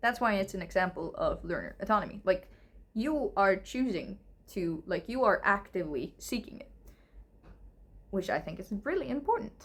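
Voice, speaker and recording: A woman speaks at a medium pitch with a non-native accent. Her intonation is lively. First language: not English. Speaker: English teacher. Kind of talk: casual lecture answering viewer questions. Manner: hesitant, filler-heavy.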